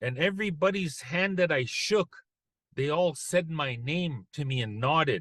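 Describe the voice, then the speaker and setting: Fairly high and bright, with a sharp tone, a man's voice moves at a moderate pace with ordinary pitch variation, sounding dry and close with no echo against a quiet background. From Canadian prairies, First Nations (Plains Cree/Anishinaabe). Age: 60s. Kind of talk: webinar presentation, storytelling. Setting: video call webinar. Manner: conversational, many fillers and repetitions.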